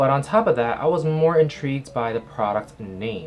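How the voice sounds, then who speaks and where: Speech at a moderate pace comes with noticeable background noise behind it. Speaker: skincare reviewer. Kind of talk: product review vlog. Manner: casual, chatty.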